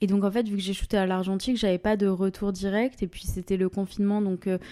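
A dark, mellow tone carries flat, monotone intonation at a fairly quick pace. The recording is very clean, and the background is silent. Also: woman. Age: 20s. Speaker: photographer. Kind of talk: interview. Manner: hesitant, filler words.

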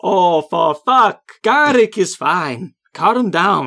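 A woman's put-on character voice, fairly low in pitch and fairly bright in tone, at a slow pace with big pitch swings.

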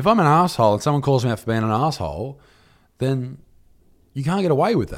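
Speaking very fast with long, frequent pauses, a man with an Australian accent uses lively intonation at a medium pitch in a very clean recording with a silent background. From Australia, Newcastle NSW. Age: 20s. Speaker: comedian and YouTuber. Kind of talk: casual chat. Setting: studio.

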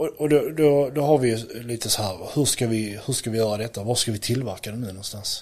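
Fairly quick, somewhat breathy speech from a man. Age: 30s. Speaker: electrician and product entrepreneur. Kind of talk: interview.

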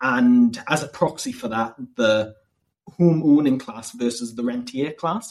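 In a Northumbrian accent, a man speaks at a fairly slow pace. His pitch is medium, with ordinary variation. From northern England, Northumberland. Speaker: PhD student and political activist. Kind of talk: casual interview about politics.

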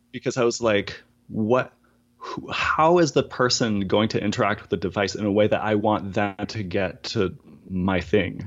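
This man has a fairly low pitch. He speaks with an Acadian accent. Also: ordinary pitch variation, moderate pace. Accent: Acadian Canadian English. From Acadian, East Coast Canada. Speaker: audiologist and voice app developer. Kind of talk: casual interview. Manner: animated.

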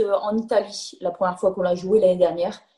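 A woman with a dark, mellow tone and a somewhat breathy quality speaks at a moderate pace. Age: 30s. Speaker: professional footballer. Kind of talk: interview.

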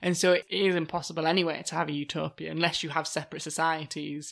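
On a very clean recording with a silent background, a woman talks very fast in a fairly low voice with vocal fry and fairly even intonation. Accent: British. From Britain. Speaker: podcast co-host. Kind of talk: casual chat.

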